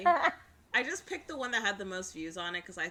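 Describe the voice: A woman speaks at a very fast pace. Noticeable background noise runs behind her.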